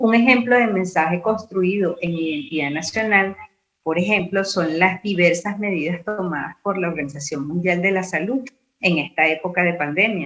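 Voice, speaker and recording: A woman's fairly low pitch varies in an ordinary way in a plain, everyday voice. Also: moderate pace. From Venezuela. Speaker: university lecturer and radio announcer. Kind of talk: conference talk.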